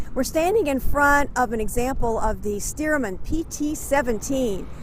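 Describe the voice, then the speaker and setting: Delivered at a moderate pace, the speech shows ordinary pitch variation against noticeable background noise. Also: woman. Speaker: interviewer, local history host. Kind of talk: on-location interview host. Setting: outdoors.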